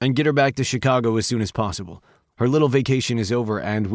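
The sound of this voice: The background stays quiet. What comes through is an unforced reading voice.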